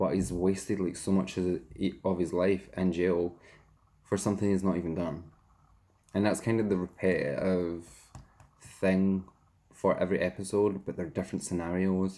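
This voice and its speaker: With a Scottish accent, a man with a very deep, low, dark and mellow voice speaks at a moderate pace in a flat monotone, taking long, frequent pauses. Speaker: YouTuber and hairdresser. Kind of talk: casual chat, eating show.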